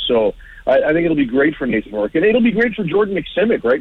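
His voice moves through very wide pitch swings as the man speaks. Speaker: sports broadcaster and CFL analyst. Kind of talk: radio interview about sports. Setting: phone call.

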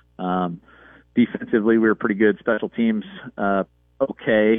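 A man's fairly low voice in a relaxed tone at a moderate pace. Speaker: high school football coach. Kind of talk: radio interview, casual. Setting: phone call. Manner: relaxed, hesitant, filler-heavy.

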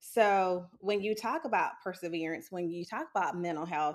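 A woman with a fairly low pitch uses a normal speaking voice and keeps a moderate pace. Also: very clean recording, silent background. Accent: American. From South Carolina (Sumter). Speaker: psychologist. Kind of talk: interview.

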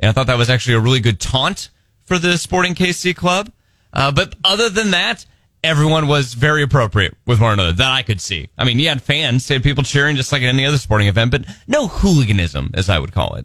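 A man's medium-pitched voice, very fast, with very wide pitch swings, a bright, sharp tone and vocal fry. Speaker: radio host. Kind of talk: casual radio banter. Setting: studio.

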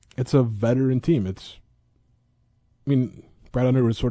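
Against a quiet background, a man with an American accent talks at a moderate pace. His tone is dark and mellow. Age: 30s. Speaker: sports beat writer. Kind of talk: casual chat.

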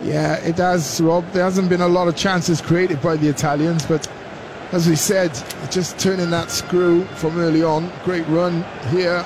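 High-pitched male voice, monotone and flat, with noticeable background noise. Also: moderate pace. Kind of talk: live match co-commentary, expert analysis over the play. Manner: conversational and relaxed, with a measured, pundit-like tone.

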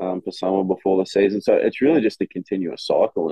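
A man speaks at a moderate pace with an Australian accent. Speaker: college football player. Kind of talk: casual chat.

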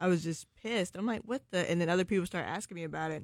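A woman's animated, very fast speech with vocal fry. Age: young. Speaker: podcast co-host. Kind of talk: casual chat. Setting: studio.

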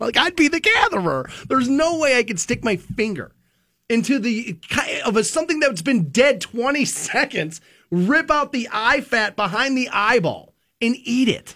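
Raising and projecting his voice, a man speaks at an extremely high pitch with a bright, sharp tone and lively intonation. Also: very clean recording, silent background. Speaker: radio host. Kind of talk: casual radio banter, DJ patter. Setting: radio studio. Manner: fast, chatty, animated.

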